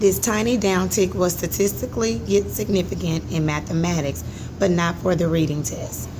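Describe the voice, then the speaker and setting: Amid noticeable background noise, a woman with a fairly low pitch speaks with very wide pitch swings. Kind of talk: article read-aloud, instructional. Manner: expressive, varied intonation and volume.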